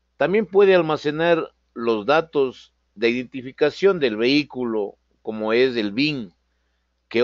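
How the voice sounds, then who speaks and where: A man talks fairly slowly at a medium pitch, with ordinary pitch variation. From Ecuador. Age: 50s. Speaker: automotive programming instructor. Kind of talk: online lecture. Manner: hesitant, frequent fillers.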